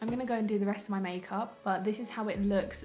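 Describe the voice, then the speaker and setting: A woman with a London accent at a fairly quick pace, music playing in the background. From London, UK. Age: 20s. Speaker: beauty YouTuber, psychology student. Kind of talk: casual makeup review to camera.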